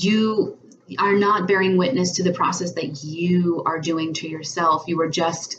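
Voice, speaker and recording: A woman with a fairly low pitch takes a fairly slow pace. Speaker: tarot reader and spiritual coach. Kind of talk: tarot reading monologue. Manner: over-enunciated, precise diction; hesitant, many fillers and repeats.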